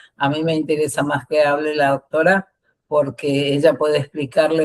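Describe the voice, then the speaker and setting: A woman speaks with a very deep, low pitch. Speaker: activist, association founder. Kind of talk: conversational panel talk. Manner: blunt.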